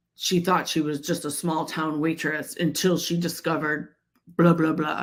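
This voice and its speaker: A put-on character voice, raspy and middle in pitch, with monotone, flat intonation at a moderate pace. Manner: dramatic, announcer-like.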